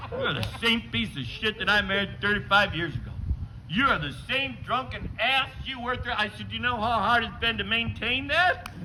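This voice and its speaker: Noticeable background noise sits behind a man speaking at a moderate pace. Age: 60s. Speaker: stand-up comedian. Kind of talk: stand-up.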